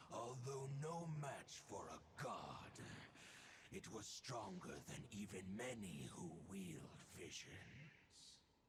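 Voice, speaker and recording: Putting on a growling character voice at medium pitch, a man speaks very slowly over clear background noise. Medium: video game. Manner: earnest, informative.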